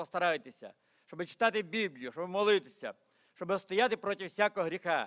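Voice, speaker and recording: The man's voice sits against a quiet background. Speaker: pastor. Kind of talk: sermon. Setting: church. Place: church. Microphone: podium.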